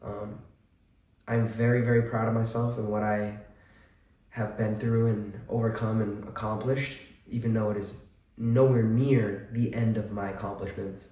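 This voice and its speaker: With an audible room echo, a man speaks in a somewhat breathy, medium-pitched monotone at a moderate pace, leaving long, frequent pauses. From central Massachusetts. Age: 20s. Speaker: vlogger. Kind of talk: personal testimony. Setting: at home. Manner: casual, hesitant with many fillers.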